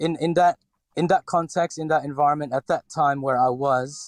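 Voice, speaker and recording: In dry, close sound with no echo, a man talks at a fairly high pitch with fairly even intonation. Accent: slight Filipino. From Philippines (Cebu). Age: 40s. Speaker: restaurateur. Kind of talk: interview. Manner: hesitant, many fillers.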